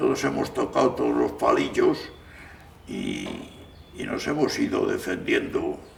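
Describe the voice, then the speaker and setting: Heard through noticeable background noise and audible room echo, a man is speaking. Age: 80s+. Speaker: gardener. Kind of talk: interview testimony. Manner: halting.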